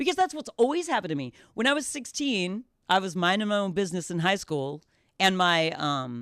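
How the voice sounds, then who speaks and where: She talks at a fairly quick pace and at a loud volume. Her pitch swings very widely from high to low. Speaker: radio host. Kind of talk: casual chat.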